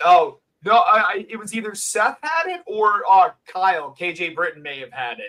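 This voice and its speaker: At a moderate pace, a man uses a raised, projected voice that is high and has a bright, sharp tone, with very wide pitch swings and big swings in loudness. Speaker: wrestling ring announcer. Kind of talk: casual interview chat.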